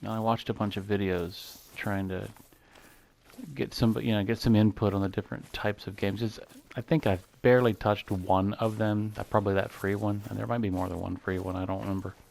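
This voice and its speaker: A man's fairly low voice at a fairly quick pace. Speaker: gaming YouTuber. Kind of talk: gameplay commentary. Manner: monotone; mellow. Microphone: mic too far, a little quiet.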